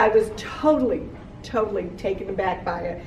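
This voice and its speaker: There is noticeable background noise and audible room echo as a woman talks at a fairly high pitch. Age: 60s. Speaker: cancer survivor. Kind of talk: testimony.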